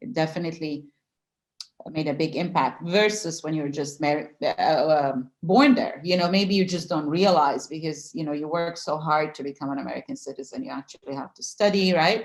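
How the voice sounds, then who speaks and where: A woman talks at a moderate pace with ordinary pitch variation in a very deep, low voice. Her loudness swings a great deal. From Yugoslavia. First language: Serbo-Croatian. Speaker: writer. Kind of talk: interview. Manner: halting.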